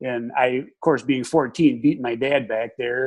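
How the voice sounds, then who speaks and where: Over a quiet background, a man speaks at a moderate pace with a medium pitch. He has an Upper Midwest accent and fairly even intonation. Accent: Upper Midwest American. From Wisconsin, Dane County. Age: 60s. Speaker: retired wildlife technician and hunting instructor. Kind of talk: interview.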